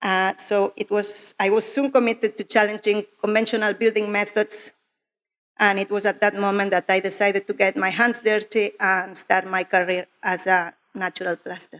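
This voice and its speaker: A woman speaks at a medium pitch with a strong Spanish accent. Her intonation is monotone and flat. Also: dry, close sound with no echo. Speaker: clay plasterer. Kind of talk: conference talk. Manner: slow, careful.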